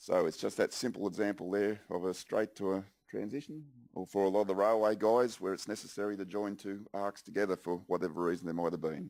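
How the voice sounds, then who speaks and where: Talking very fast, a man with an Australian accent keeps a fairly low pitch and ordinary pitch variation. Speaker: software engineer presenter. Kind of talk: conference presentation. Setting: conference stage with audience.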